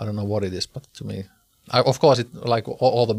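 On a very clean recording with a silent background, a man with a Finnish accent speaks fairly quickly, his fairly low voice somewhat breathy. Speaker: podcast host and musician. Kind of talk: interview.

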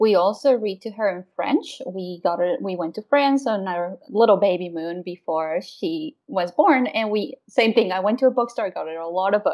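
With hardly any pauses, a woman of medium pitch talks at a moderate pace in lively intonation. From Mexico (Querétaro). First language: Spanish. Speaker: wellness consultant and mom. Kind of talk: interview conversation.

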